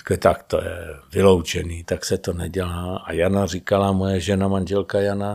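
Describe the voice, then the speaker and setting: This man talks at a moderate pace in a normal speaking voice. His pitch sits fairly low. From Prague. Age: 50s. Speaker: actor. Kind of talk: casual chat. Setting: studio.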